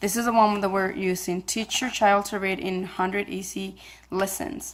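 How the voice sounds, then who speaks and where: Fairly even intonation at a moderate pace, with a non-native accent. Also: woman. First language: not English. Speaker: homeschooling parent vlogger. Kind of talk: casual vlog talk. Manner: halting, many fillers.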